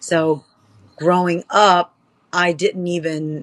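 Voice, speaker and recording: In an American accent, a woman talks at a fairly low pitch with monotone, flat intonation. The sound is dry and close, with no echo. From Charlottesville, Virginia, US. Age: 40s. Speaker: power slap fighter, former pro wrestler. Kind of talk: interview.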